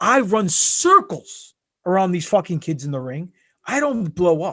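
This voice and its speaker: A high-pitched man with a bright, sharp, animated tone at a fairly slow pace, against a quiet background. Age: 40s. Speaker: pro wrestler. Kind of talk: casual chat.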